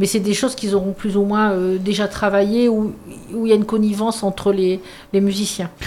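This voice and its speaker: A woman talks at a fairly quick pace with a medium pitch. Her intonation is flat and monotone, and her loudness stays very even. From northern France, mining basin. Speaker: youth and culture centre staff. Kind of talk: radio interview.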